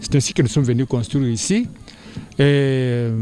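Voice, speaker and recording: A man is speaking. His pace is moderate. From DR Congo, Kasai (Luebo). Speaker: school director. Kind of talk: interview. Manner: halting.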